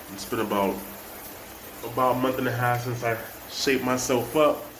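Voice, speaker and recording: Noticeable background noise surrounds a man talking at a medium pitch. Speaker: amateur barber. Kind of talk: casual haircut tutorial talk to camera.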